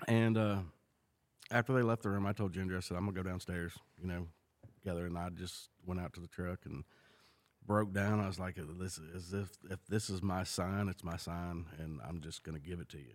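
With a Southern US accent, a man speaks at a very deep, low pitch. His pace is fairly quick and his intonation fairly even. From California, then Mississippi from age seven. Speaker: churchgoer sharing testimony. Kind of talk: testimony. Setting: recording in a shop with small audience.

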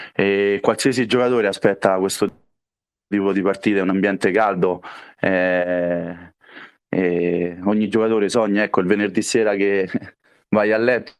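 A man's fairly low, monotone voice with flat intonation, very even loudness, a moderate pace and long, frequent pauses, over a quiet background. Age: 30s. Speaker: futsal player. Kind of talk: interview. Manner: halting.

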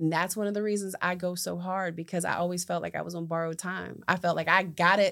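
A woman's very fast speech with an American accent and a bright, sharp tone on a very clean recording with a silent background. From West Virginia, US. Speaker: entrepreneur and community advocate. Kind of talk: interview, personal testimony.

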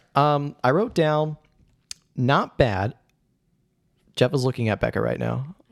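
Animated in tone, a man with an American accent speaks with ordinary pitch variation and long, frequent pauses. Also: medium pitch for a man. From Indiana, US Midwest. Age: 20s. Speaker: podcast host. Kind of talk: casual comedic chat about a movie. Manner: animated, jokey.

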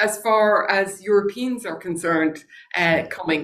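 A woman speaks with an Irish accent. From Ireland. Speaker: former senator and genealogist. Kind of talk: interview conversation.

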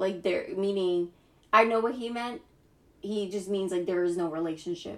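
At a moderate pace and medium pitch, a woman talks with fairly even intonation in a plain, everyday voice. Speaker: podcast co-host. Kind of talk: casual chat.

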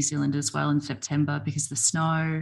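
In an Australian accent, a woman speaks at a moderate pace against a quiet background. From Australia, Melbourne. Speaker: podcast host. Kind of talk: casual interview. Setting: video call.

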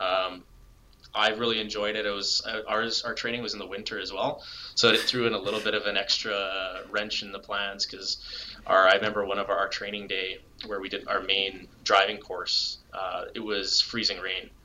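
Over noticeable background noise, a man with a Canadian accent speaks at a moderate pace in a fairly low, monotone, flat voice. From Alberta, Canada. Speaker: police crime scene investigator. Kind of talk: interview.

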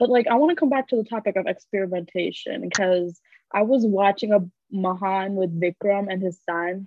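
With an American accent and an unremarkable speaking voice, the speaker talks at a fairly quick pace with ordinary pitch variation. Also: woman, medium pitch for a woman. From US Midwest (Michigan). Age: 20s. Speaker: recent graduate, podcast guest. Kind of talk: casual chat.

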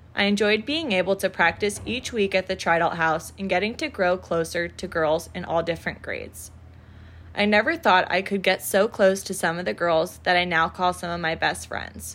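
A woman with an American accent and vocal fry talks at a moderate pace. The recording is very clean with a silent background. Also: medium pitch for a woman, ordinary pitch variation. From Florida, Naples. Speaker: sorority recruitment chair, college student. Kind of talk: scripted podcast segment.

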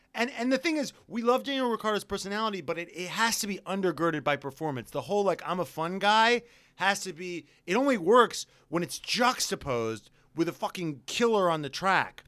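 The tone is bright and sharp, with lively intonation at a fairly quick pace. The recording is very clean, with a silent background. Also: man, high pitch for a man. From New York. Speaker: podcast host. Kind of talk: casual banter, comedic and profane. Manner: animated, joking.

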